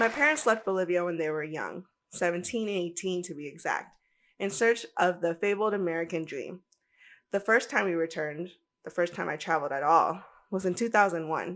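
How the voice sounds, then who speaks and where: A fairly quick delivery in a Spanish accent with ordinary pitch variation, on a very clean recording with a silent background. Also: woman, fairly low pitch for a woman. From United States. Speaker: travel podcaster. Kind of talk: podcast monologue. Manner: animated.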